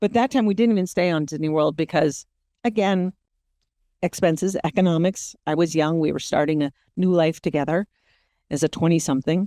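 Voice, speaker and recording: A woman with a dark, mellow tone and a fairly low pitch talks at a fairly quick pace with long, frequent pauses, on a very clean recording with a silent background. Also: ordinary pitch variation. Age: 50s. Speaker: podcast host. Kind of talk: casual monologue.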